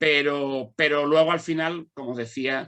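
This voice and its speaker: The speaker uses an ordinary speaking voice and keeps a moderate pace. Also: man. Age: 60s. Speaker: law lecturer and mediator. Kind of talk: panel discussion. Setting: conference with audience.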